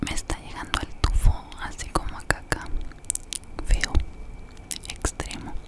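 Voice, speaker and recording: A woman whispering at a fairly slow pace. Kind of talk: ASMR roleplay. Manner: soft, close ASMR voice, disgusted. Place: office. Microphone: studio mic.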